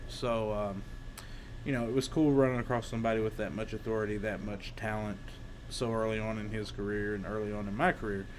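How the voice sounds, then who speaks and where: A man with a fairly low pitch talks at a fairly quick pace. His intonation is fairly even, with audible room echo. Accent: Eastern Kentucky. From Eastern Kentucky. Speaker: former pro wrestler. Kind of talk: casual storytelling. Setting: workshop. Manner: hesitant, many fillers.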